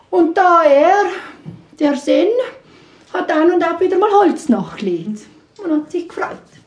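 A woman with an extremely high pitch speaks at a fairly slow pace in an animated, playful tone. Her intonation is lively, with long, frequent pauses over noticeable background noise. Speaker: storyteller. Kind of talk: live folk-tale storytelling to an audience, ghost story. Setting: stage with live audience. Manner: animated, conversational, playful voices for characters; addresses listeners directly, with asides and laughter.

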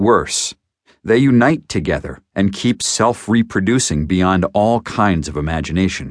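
A man's ordinary speaking voice, fairly low in pitch, with lively intonation and a fairly slow pace. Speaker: audiobook narrator. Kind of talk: audiobook reading of nonfiction health text. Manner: steady, even, formal; measured, didactic, explanatory pace.

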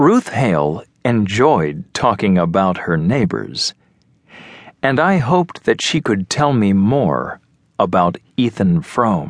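Very slowly and at a very even loudness, a man speaks with fairly low pitch and very wide pitch swings. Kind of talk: audiobook narration, scripted reading aloud of an abridged novel. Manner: measured, even storytelling pace, clear and simplified for language learners.

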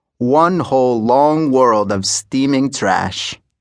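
Lively intonation marks a man's speech, delivered in a dramatic tone. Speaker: audiobook narrator. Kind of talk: scripted first-person audiobook narration, dramatic storytelling in a character's voice. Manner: earnest, vivid, conversational, gritty and direct; measured, rhythmic, wry with dramatic emphasis.

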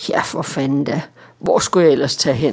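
Low-to-middle in pitch, this put-on character voice is raspy and mumbling. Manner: slurred, mumbling, with a big smile.

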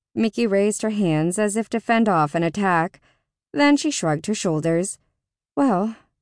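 A natural reading voice, its pitch varying in an ordinary way, comes through against a quiet background.

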